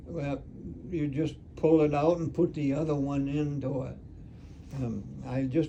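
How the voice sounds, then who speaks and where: A man speaks at a very slow pace, his pitch fairly high for a man. His tone is dark and mellow, and somewhat breathy. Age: 80s+. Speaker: retired taxidermist. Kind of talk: conversational explanation. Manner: hesitant, halting.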